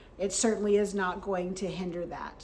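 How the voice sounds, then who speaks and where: A woman speaks in a room with audible echo. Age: 60s. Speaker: health vlogger. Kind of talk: vlog talk to camera.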